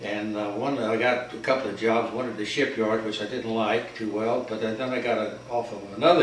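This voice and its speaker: A man with an American accent speaks at a moderate pace. Audible room echo and noticeable background noise fill the recording. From North Carolina, US South. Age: 80s+. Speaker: war veteran. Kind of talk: interview. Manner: halting.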